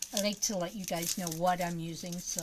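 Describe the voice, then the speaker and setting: A woman at medium pitch, a moderate pace, and noticeable background noise. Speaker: crafting livestreamer. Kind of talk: live craft stream chat. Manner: casual, chatty; quiet while concentrating.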